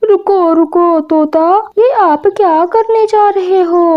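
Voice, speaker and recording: A woman's cartoonish character voice at an extremely high pitch and a fairly slow pace. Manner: calm, authoritative.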